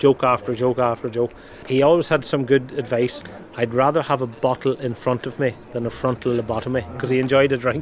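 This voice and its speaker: Over noticeable background noise, a man talks very fast at medium pitch. His intonation is monotone and flat. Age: 40s. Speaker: pub owner. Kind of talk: interview.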